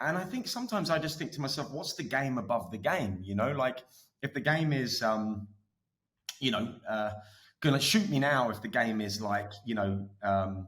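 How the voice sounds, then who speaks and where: A man with an Essex accent, medium pitch, lively intonation and a moderate pace. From England, Essex. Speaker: media executive. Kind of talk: podcast interview. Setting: studio. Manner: casual, filler-heavy with many restarts.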